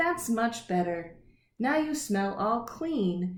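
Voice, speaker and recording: Speaking at a very slow pace, a woman puts on a character voice. She keeps her pitch fairly high. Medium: read story.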